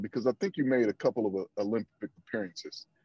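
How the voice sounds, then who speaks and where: A man with an American accent has a dark, mellow tone and lively intonation. The sound is dry and close, with no echo. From Flint, Michigan. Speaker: team leader. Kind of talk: casual conversation.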